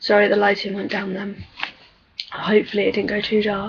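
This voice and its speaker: A soft-spoken woman with an English accent, fairly high pitch, and a fairly quick pace, over noticeable background noise. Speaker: vlogger. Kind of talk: casual chat. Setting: webcam video at home.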